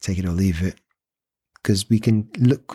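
The somewhat breathy voice of a man comes through on a very clean recording with a silent background and a dry, close sound with no echo. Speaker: actor. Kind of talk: casual chat.

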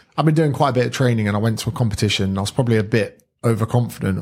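A man with a somewhat breathy, medium-pitched voice talks very fast with ordinary pitch variation in a very clean recording with a silent background. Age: 30s. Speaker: personal trainer and author. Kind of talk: casual chat.

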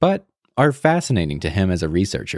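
On a very clean recording with a silent background and a dry, close sound with no echo, a man speaks at a moderate pace in a very deep, low pitch with very wide pitch swings and vocal fry. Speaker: podcast announcer. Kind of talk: scripted intro and outro.

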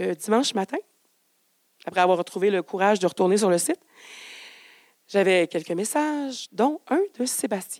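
At a moderate pace and medium pitch, a woman speaks with lively intonation and long, frequent pauses, the sound dry and close with no echo. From Quebec, Donnacona. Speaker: storyteller. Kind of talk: live storytelling. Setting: stage with audience.

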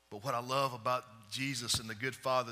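A man's bright, sharp tone at a fairly quick pace, with audible room echo. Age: 40s. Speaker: preacher. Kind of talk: sermon. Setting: church with live congregation.

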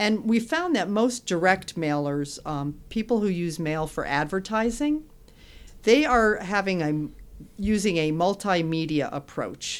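A woman's medium-pitched voice with an American accent, very wide pitch swings and a fairly slow pace, on a very clean recording with a silent background. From Connecticut, West Hartford. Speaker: postal service marketing manager. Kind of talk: casual interview.

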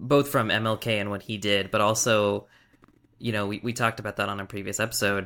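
In a very clean recording with a silent background, a man talks very fast at a fairly low pitch, his tone bright and sharp and his intonation monotone and flat. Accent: American. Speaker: podcast host. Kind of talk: casual conversation.

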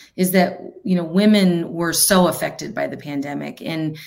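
A woman speaks at a moderate pace with a fairly low pitch and ordinary pitch variation. She has a plain, everyday voice. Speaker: podcast host. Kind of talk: interview questions.

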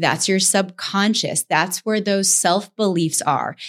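Heard in a very clean recording with a silent background, a woman speaks at a medium pitch with ordinary pitch variation, a normal speaking voice. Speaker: podcast co-host. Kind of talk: educational podcast discussion.

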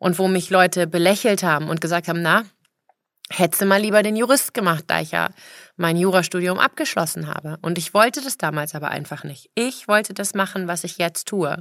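A woman speaks at a fairly quick pace in a fairly low pitch with ordinary pitch variation, in a normal speaking voice. The recording is very clean, with a silent background. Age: 40s. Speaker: personal trainer and fitness podcaster. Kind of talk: motivational monologue.

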